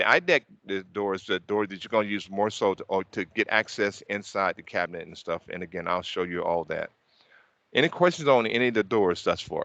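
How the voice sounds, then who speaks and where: Speaking fairly quickly with a Southern US accent, a man with a fairly low pitch and a bright, sharp tone shows ordinary pitch variation and big swings in loudness, recorded dry and close with no echo against a quiet background. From US South. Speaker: technical trainer. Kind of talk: training session. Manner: fast.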